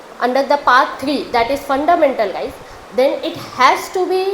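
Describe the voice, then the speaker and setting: A woman speaks at a fairly slow pace in an Indian accent, her high pitch showing ordinary pitch variation. Noticeable background noise runs underneath. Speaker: law student. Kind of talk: answer to audience question on stage. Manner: hesitant, with fillers.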